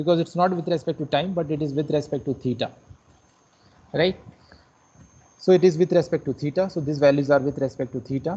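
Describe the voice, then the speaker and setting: A somewhat breathy, dark and mellow man's voice, fairly high in pitch, with fairly even intonation and long, frequent pauses. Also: fairly quick pace. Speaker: lecturer. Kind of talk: lecture.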